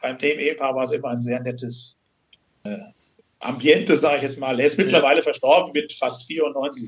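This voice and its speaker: Ordinary pitch variation and a fairly quick pace in a plain, everyday voice. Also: man, fairly high pitch for a man. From Hesse, Germany. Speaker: financial and succession planner. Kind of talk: interview. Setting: phone call.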